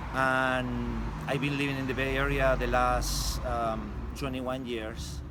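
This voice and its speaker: A man talks at a very slow pace, his pitch swinging very widely. The recording carries audible room echo and noticeable background noise. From Chile, Santiago. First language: Spanish. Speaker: street artist, muralist. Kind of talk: interview. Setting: outdoors. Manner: halting, many fillers.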